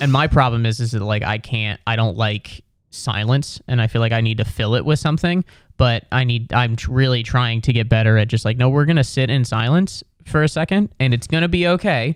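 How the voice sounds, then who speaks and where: Recorded very cleanly against a silent background, a man speaks at a fairly quick pace and a medium pitch with ordinary pitch variation. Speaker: comedian. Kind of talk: casual chat. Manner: fast.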